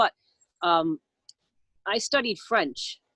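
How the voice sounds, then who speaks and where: Recorded with a dry, close sound and no echo, a woman speaks at medium pitch with an American accent. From US Northeast, Long Island. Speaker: radio host. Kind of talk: casual interview chat. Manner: halting, many fillers.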